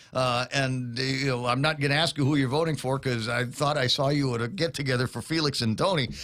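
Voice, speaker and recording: Over noticeable background noise, a man speaks very fast in a medium pitch, with fairly even intonation, very even loudness and hardly any pauses. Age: 60s. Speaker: radio talk show host. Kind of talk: casual interview. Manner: halting, many fillers.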